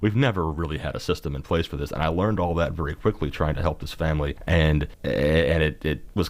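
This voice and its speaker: Very fast and in a Kentucky accent, a man talks with a very deep, low pitch and vocal fry. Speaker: mental health policy advocate. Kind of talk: podcast interview. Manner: halting.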